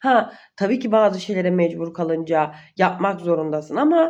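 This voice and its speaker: A woman is speaking. Her pitch swings very widely. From Uşak, Turkey. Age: 20s. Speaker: vlogger. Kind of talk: casual Q&A monologue. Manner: trying to sound energetic.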